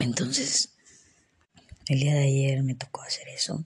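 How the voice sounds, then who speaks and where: The speaker is a woman whose pitch is very deep and low. Her voice has vocal fry. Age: 30s. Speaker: podcaster. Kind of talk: personal reflection monologue. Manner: halting.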